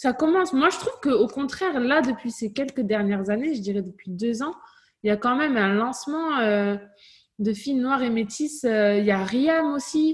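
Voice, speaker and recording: With lively intonation, a woman speaks at a moderate pace in a high voice. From southern France, Toulouse. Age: 30s. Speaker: fitness coach and entrepreneur. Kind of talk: interview. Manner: casual.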